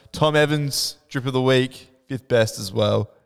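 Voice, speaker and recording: With an Australian accent, a man talks with ordinary pitch variation. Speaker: podcast host. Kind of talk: casual chat.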